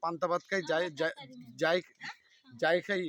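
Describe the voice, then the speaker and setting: A man with fairly even intonation. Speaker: village video blogger interviewing locals. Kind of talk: casual interview.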